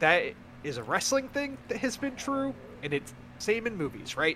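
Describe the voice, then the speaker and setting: Very wide pitch swings run through a man's fairly quick speech. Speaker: podcast host. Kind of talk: casual chat.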